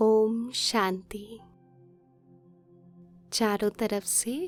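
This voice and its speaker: With music in the background, a woman talks in a calm tone, her pitch fairly high and her intonation monotone and flat. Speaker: meditation guide. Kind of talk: guided meditation commentary. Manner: slow, calm.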